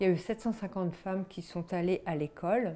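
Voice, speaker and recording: A woman speaks with a dark, mellow tone at a fairly low pitch, using ordinary pitch variation. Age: 60s. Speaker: literacy advocate, formerly illiterate. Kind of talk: personal testimony interview. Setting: at her home. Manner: halting, with repetitions and hesitations.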